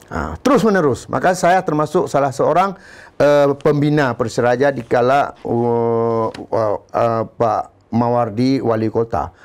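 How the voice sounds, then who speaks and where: A man's plain, everyday voice at a medium pitch, with lively intonation, a fairly slow pace and hardly any pauses. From Aceh, Indonesia. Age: 50s. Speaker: former football club manager; guest. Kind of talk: interview. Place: studio. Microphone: lapel.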